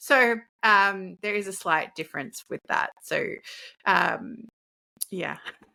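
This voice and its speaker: A bright, sharp voice with ordinary pitch variation speaks at a very slow pace with long, frequent pauses, in a dry, close sound with no echo. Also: woman, medium pitch for a woman. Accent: Australian. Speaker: leadership coach. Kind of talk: casual interview chat.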